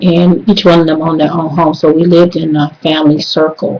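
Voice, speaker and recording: In an American accent, a woman speaks at a fairly low pitch with a dark, mellow tone and monotone, flat intonation. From US South, South Carolina then Detroit from age ten. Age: 40s. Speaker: student. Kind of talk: class assignment video monologue. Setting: webcam recording. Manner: casual with frequent hesitations.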